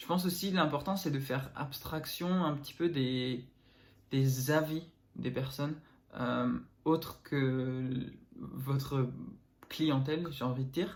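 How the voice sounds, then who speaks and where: A somewhat breathy man at a fairly high pitch, very slow and with long, frequent pauses, fairly even intonation, and audible room echo. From northern France. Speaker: entrepreneur and vlogger. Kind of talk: casual vlog. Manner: hesitant, many fillers.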